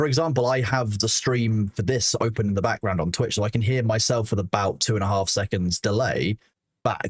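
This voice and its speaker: A man speaks at a fairly quick pace in a fairly low, somewhat breathy voice, his loudness very even and the sound dry and close with no echo. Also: ordinary pitch variation. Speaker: streamer and community moderator. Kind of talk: podcast interview. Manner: fast.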